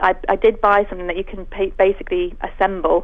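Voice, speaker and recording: This woman has an ordinary speaking voice with an American accent, a fairly high pitch and a fairly quick pace. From US Northeast, Connecticut. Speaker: children's cooking teacher. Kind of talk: radio interview.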